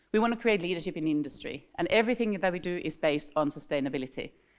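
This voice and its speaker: Speaking very fast with lively intonation, a woman with a Finnish accent has a fairly low pitch. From Finland. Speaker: industry association director. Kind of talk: conference opening remarks. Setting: stage with audience. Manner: animated.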